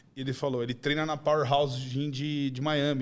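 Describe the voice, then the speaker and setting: A man talks at a fairly quick pace. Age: 40s. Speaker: gym owner; podcast guest. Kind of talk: podcast chat. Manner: animated. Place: studio. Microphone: studio mic.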